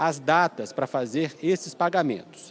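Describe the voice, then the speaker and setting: In a dry, close recording with no echo, a man with an ordinary speaking voice speaks at a fairly high pitch with lively intonation. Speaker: TV news reporter. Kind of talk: live news report. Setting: presidential palace press area.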